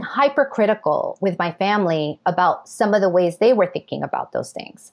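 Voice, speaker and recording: This is a normal speaking voice with lively intonation. It moves at a moderate pace with hardly any pauses. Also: woman. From New York City. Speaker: novelist and professor. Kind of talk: interview.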